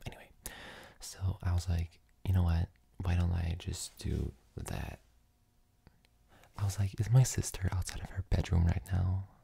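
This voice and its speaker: A soft-spoken woman talks in a very deep, low voice with a tired tone. Her intonation stays monotone and flat, broken by long, frequent pauses. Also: moderate pace, big swings in loudness. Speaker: ASMR content creator. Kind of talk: casual talk to camera. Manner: soft-spoken, tired.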